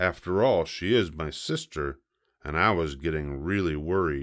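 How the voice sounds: Ordinary pitch variation on a very clean recording with a silent background. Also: man, extremely low pitch for a man, fairly slow pace.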